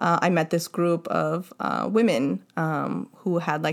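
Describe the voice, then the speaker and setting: A woman with an American accent speaks at a fairly low pitch with vocal fry, on a very clean recording with a silent background. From Los Angeles (Boyle Heights). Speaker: DJ and social justice advocate. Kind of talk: casual interview chat.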